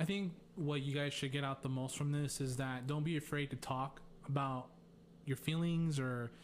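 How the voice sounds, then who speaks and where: A man with an unremarkable speaking voice talks at a fairly high pitch and a moderate pace. His intonation is fairly even, and his loudness stays very even. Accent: American. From US, Mexican American. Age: 30s. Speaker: nurse. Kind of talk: casual conversation.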